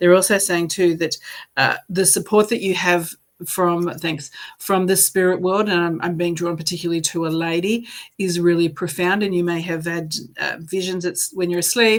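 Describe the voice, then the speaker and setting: At a fairly quick pace, a woman with a plain, everyday voice speaks at a fairly low pitch with fairly even intonation. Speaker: psychic medium. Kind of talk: live psychic card reading. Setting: live stream.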